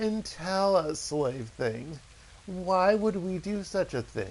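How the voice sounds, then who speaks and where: A man's put-on character voice, high-pitched and cackling, at a very slow pace over clear background noise. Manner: malicious, mocking.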